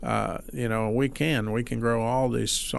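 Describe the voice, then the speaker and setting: Speaking slowly-ish at a fairly slow pace, this is a plain, everyday voice with an American accent and ordinary pitch variation. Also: man. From Mississippi, US South. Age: 60s. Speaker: farmer. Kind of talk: casual interview chat.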